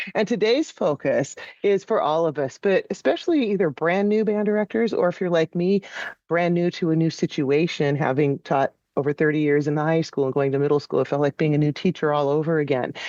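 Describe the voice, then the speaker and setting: Very deep and low in pitch, a woman speaks with ordinary pitch variation and very even loudness in a dry, close sound with no echo against a quiet background. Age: 60s. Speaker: podcast host and band director. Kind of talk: podcast interview. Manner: hesitant, with frequent fillers.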